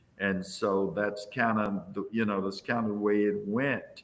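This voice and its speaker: Here a man with a plain, everyday voice speaks at a fairly low pitch. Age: 60s. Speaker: visual artist. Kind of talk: interview.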